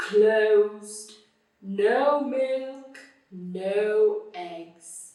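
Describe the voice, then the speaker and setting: Using a put-on character voice, a woman speaks at a fairly high pitch with a slight echo. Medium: read story.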